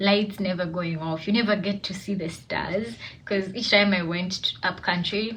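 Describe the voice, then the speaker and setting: Through audible room echo and noticeable background noise, a woman speaks at a medium pitch with fairly even intonation. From Uganda, Kampala. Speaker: student. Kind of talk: personal reflection monologue. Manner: hesitant, many fillers.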